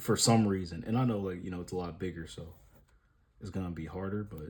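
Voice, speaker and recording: Mumbling at a very fast pace, a man with a very deep, low pitch sounds somewhat breathy, using ordinary pitch variation amid audible room echo. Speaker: drawing vlogger. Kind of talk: casual vlog while drawing. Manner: casual, filler-heavy.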